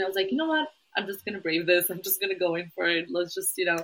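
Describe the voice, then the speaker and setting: Here is a woman with an unremarkable speaking voice. Her pitch is medium, with ordinary variation. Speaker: podcast co-host. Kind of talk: casual chat.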